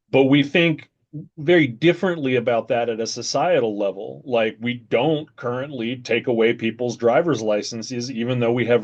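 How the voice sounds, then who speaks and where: At a moderate pace, a male voice of medium pitch talks. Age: 40s. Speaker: video commentator. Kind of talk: casual chat. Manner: halting.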